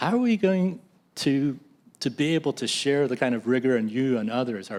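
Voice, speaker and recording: Speaking at a fairly quick pace with an American accent, a man uses a normal speaking voice with ordinary pitch variation. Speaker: drug repurposing nonprofit leader. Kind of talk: panel discussion. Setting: hybrid public meeting.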